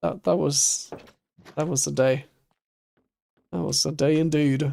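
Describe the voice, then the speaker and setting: At a fairly slow pace, a man with a German accent speaks in a fairly high pitch, with lively intonation and a dark, mellow tone. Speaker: streamer. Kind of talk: casual chat while gaming live. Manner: animated.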